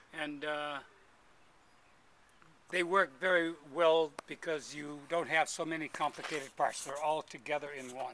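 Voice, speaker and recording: A man talks at a fairly slow pace with long, frequent pauses and big swings in loudness. His fairly high pitch carries a bright, sharp tone, and his intonation is monotone and flat. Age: 80s+. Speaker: vintage motorcycle racer. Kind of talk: interview answer.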